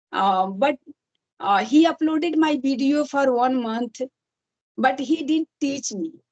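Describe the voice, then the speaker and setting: Speaking at a very slow pace with an Indian accent, a woman uses a high pitch with ordinary variation, the sound dry and close with no echo. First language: Hindi. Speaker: English learner and YouTuber. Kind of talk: casual chat. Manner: halting.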